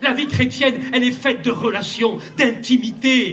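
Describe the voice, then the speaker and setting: At a moderate pace, a man talks in a high pitch, with audible room echo and noticeable background noise. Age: 70s. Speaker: pastor. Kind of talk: sermon. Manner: animated.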